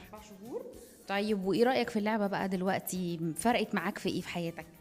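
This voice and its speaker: Against noticeable background noise, an animated voice moves at a fairly quick pace with big swings in loudness and ordinary pitch variation. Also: woman, medium pitch for a woman. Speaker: children's TV presenter. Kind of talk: interviewing children on a TV show. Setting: TV shoot at a sports academy.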